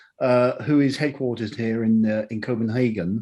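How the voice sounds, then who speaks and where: Lively intonation runs through a voice with a British accent and a dark, mellow tone. The background is quiet. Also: man. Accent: very British. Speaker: technology professional, panelist. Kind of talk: panel discussion.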